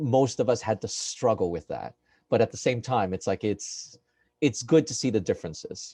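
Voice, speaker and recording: Dry and close with no echo, a man's medium-pitched, dark and mellow voice comes across somewhat breathy, with lively intonation at a moderate pace. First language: Spanish. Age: 40s. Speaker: performing artist. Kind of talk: casual group chat. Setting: video call. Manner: halting, many fillers.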